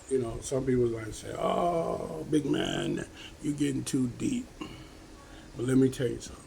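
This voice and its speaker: A man with a medium-pitched voice speaks with ordinary pitch variation. Room echo is audible, and background noise is noticeable. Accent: American. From United States. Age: 70s. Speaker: vlogger giving life advice. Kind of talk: casual motivational talk to camera. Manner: conversational, repetitive with frequent okay.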